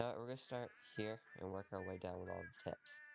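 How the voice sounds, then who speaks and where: Music plays behind a man with a fairly low voice. He talks at a moderate pace. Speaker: hobbyist 3D learner. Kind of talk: casual talk to camera.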